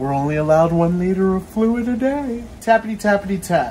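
Amid faint background noise, a man with a high, slightly mellow voice talks at a moderate pace with big pitch swings.

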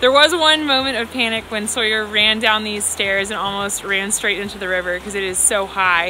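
A woman talks at a moderate pace with hardly any pauses and ordinary pitch variation. The sound is dry with no echo, over light background noise. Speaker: parent vlogger. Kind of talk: casual vlog chat. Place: forest. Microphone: phone near.

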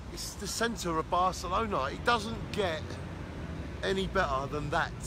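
The fairly slow speech sounds dry with no echo, though noticeable background noise is present. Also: man. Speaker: travel vlogger. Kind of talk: casual vlog chat. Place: street. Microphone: phone near.

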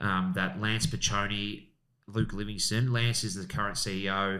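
Quiet background behind a man with an Australian accent, a fairly low pitch, a bright, sharp tone and fairly even intonation. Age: 40s. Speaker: real estate agent and auctioneer; auctioneer. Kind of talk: casual chat. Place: studio. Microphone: studio mic.

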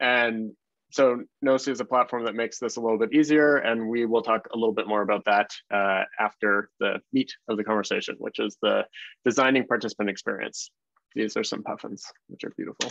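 A man with a Canadian accent talks at a fairly quick pace with fairly even intonation. The sound is dry with no echo, over a quiet background. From Canada (Toronto); Canada. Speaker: design researcher and consultant; presenter. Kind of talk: webinar talk. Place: home room. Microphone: video call.

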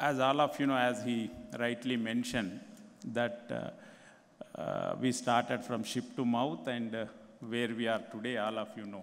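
A man's voice at a fairly slow pace, with long, frequent pauses and ordinary pitch variation. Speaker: speaker. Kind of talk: conference address. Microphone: podium.

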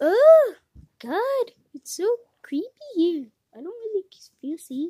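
An extremely high put-on character voice at a fairly slow pace with very wide pitch swings. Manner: creepy, fearful.

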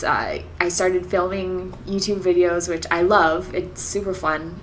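A woman at a fairly slow pace over light background noise. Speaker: vlogger. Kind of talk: casual vlog chat. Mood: warm, upbeat, reflective. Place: home room.

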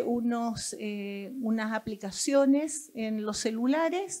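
A woman speaks at a very slow pace in a high-pitched voice. The background is quiet. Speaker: doctor, audience member; audience member. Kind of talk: audience comment. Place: hall.

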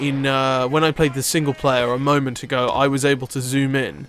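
Over noticeable background noise, a man talks at a moderate pace with a fairly high voice. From Scotland. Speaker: gaming video creator. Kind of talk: let's play gaming commentary.

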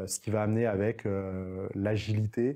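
Against a quiet background, the voice has a dark, mellow tone and monotone, flat intonation. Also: man. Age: 40s. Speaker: entrepreneur. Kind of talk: interview monologue. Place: studio. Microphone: lapel.

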